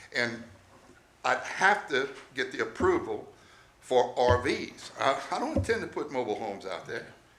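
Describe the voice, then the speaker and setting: Delivery is at a moderate pace with long, frequent pauses. Audible room echo surrounds the voice. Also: man. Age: 70s. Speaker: RV park owner addressing town council. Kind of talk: public hearing testimony. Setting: town council meeting at city hall.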